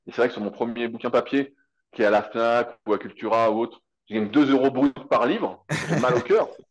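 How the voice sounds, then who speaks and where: Speaking at a fairly quick pace, a man has a medium pitch. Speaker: fitness coach and content creator. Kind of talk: casual interview chat. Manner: fast; animated.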